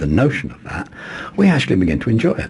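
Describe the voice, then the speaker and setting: A man talks at a very fast pace with very wide pitch swings. Noticeable background noise is present. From England. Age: 60s. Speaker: poet and ritualist. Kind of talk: interview. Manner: halting, repeats words.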